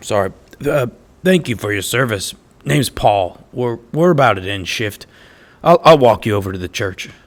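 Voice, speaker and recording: A man at medium pitch puts on a raspy character voice with very wide pitch swings, speaking at a moderate pace with long, frequent pauses on a very clean recording with a silent background. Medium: audio drama. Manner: stammering, hesitant.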